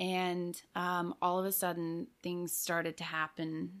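A woman with an American accent speaks very slowly in a fairly low voice. The recording is very clean, with a silent background. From Austin, Texas, with childhood years in England. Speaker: church parishioner, catechumen. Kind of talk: casual interview, faith testimony. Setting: studio.

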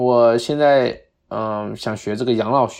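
Against a quiet background, a man of medium pitch with a Cantonese accent speaks at a moderate pace, his dark, mellow tone carried by fairly even intonation. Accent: Cantonese-accented Mandarin. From Guangdong, China (Harbin parents). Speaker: American football player. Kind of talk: casual chat.

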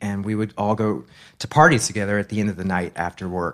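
A man with an American accent, a normal speaking voice, fairly low pitch, fairly even intonation and a fairly quick pace, on a very clean recording with a silent background. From Massachusetts. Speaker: fashion designer. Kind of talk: casual chat.

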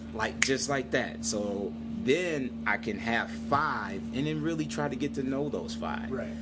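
Noticeable background noise and audible room echo accompany a man who speaks fairly slowly with a very deep, low pitch and lively intonation. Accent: American. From Michigan, Saginaw. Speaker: entrepreneur. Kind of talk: interview. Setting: coffee shop.

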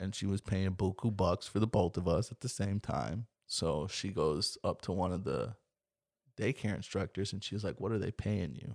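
A man with an American accent, fairly low pitch, vocal fry, ordinary pitch variation and moderate pace, in a very clean recording with a silent background and dry, close sound with no echo. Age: 20s. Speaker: podcast host. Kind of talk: casual chat. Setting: home closet studio.

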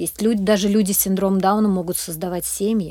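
Dark, mellow tone with ordinary pitch variation, in a very clean recording with a silent background. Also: woman. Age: 40s. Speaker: charity program manager. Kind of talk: interview.

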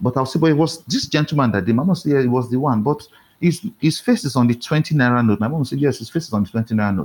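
Here a man talks at a very fast pace. His pitch is medium. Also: very clean recording, silent background. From Nigeria, Warri (Niger Delta). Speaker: novelist and publisher. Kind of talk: interview conversation. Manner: code-switching to standard English.

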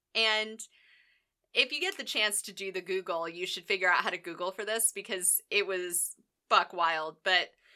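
A woman's bright, sharp, animated voice at medium pitch comes at a fairly slow pace. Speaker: podcast co-host. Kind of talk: casual banter, sarcastic chat. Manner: animated, joking.

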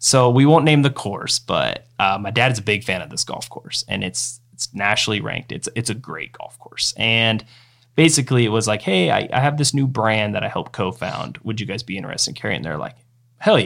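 At a fairly quick pace, a man with an American accent speaks at a medium pitch with lively intonation and vocal fry. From eastern Washington, US. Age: 30s. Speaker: golf apparel entrepreneur. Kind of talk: casual interview.

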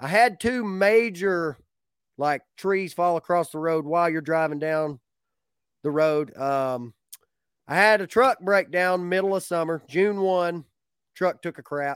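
In a strong Appalachian accent, a man talks in a relaxed tone and a high voice with ordinary pitch variation. He leaves long, frequent pauses, and the sound is dry and close with no echo. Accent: Southern Appalachian, fairly strong. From north Georgia Appalachia, US. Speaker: beekeeper, sideline bee business owner. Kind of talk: casual interview chat. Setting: video call online. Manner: relaxed, folksy.

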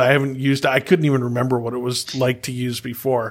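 Recorded very cleanly with a silent background, a man of medium pitch speaks at a moderate pace in a plain, everyday voice. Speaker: podcast host. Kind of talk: casual interview chat.

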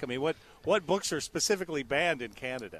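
Bright and sharp in tone, a man's voice moves at a fairly quick pace with lively intonation. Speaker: field radio reporter. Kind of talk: live remote report. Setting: at a live event.

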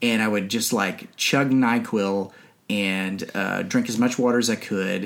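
Fairly slow and at a medium pitch, a man with an unremarkable speaking voice talks with fairly even intonation. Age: 40s. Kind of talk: casual chat.

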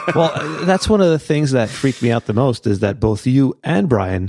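Speaking with a Canadian accent, a man with a dark, mellow tone and lively intonation talks at a moderate pace in a very clean, dry, close recording with a silent background and no echo. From Canada. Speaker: podcast co-host. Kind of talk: casual chat.

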